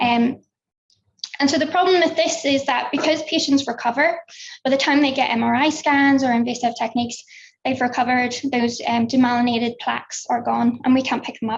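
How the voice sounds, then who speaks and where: This woman speaks in a Belfast accent at a high pitch. Her pace is fairly quick and her intonation fairly even. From Northern Ireland, Belfast. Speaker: researcher. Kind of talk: conference talk. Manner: hesitant with frequent fillers.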